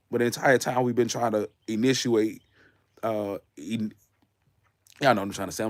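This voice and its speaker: Putting on a raspy character voice, a man talks at a medium pitch and a moderate pace with monotone, flat intonation and long, frequent pauses. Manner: sleepy.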